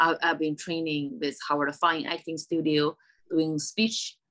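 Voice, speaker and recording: A woman speaks with a strong Chinese accent at a fairly slow pace. Her pitch is very deep and low, with fairly even intonation. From China. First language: Mandarin Chinese. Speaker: stand-up comedian. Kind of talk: casual interview chat. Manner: halting, many fillers and repeats.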